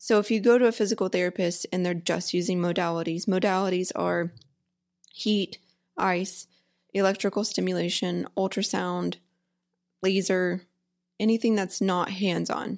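A woman with a Texan accent, medium pitch, fairly even intonation and long, frequent pauses, on a very clean recording with a silent background. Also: moderate pace. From Texas, Houston area. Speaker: physical therapist. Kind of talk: casual interview chat.

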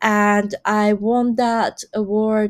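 A woman speaks at a medium pitch in a monotone, flat intonation. The recording is very clean with a silent background. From Taiwan. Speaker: artist and designer, PhD candidate. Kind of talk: interview conversation.

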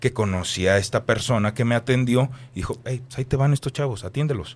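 An ordinary speaking voice from a man, medium in pitch with ordinary pitch variation, at a fairly quick pace, in a very clean recording with a silent background. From Mexico, Guadalajara. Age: 30s. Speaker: radio announcer and voice-over artist. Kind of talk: interview.

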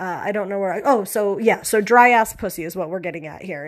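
On a very clean recording with a silent background, a woman at medium pitch speaks in an animated tone with ordinary pitch variation. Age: 40s. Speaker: podcast host with cancer. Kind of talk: casual monologue. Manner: animated, rambling with fillers.

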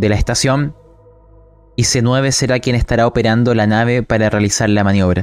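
With music in the background, a man at medium pitch speaks in a dramatic tone with fairly even intonation at a moderate pace. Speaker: game master narrating a tabletop sci-fi horror role-playing game. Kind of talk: noir narration, scene-setting storytelling in a tabletop RPG. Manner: dramatic, atmospheric, measured narration with evocative detail.

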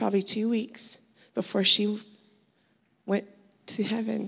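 Speaking at a fairly slow pace, a woman with medium pitch uses a monotone, flat intonation with vocal fry. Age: 30s. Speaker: church member. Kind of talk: testimony. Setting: church.

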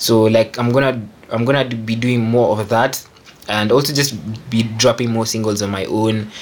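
Over noticeable background noise, a man talks at a moderate pace. His medium-pitched voice is monotone and flat. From Kenya. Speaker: music producer. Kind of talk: casual chat. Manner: halting, many fillers.

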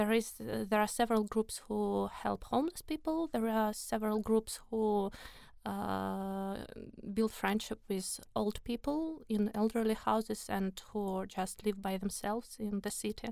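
A woman with a Russian accent speaks at a fairly slow pace. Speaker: volunteer. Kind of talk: interview.

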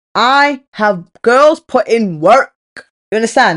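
A woman talks with a British accent and very wide pitch swings. Her tone is animated, and the sound is dry and close with no echo. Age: 20s. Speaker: podcast host. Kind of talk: casual monologue.

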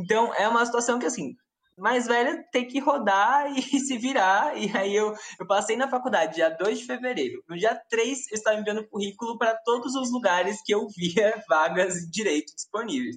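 A woman has a plain, everyday voice, pitched fairly high. She talks at a moderate pace with lively intonation. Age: 20s. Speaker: law student. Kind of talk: casual chat.

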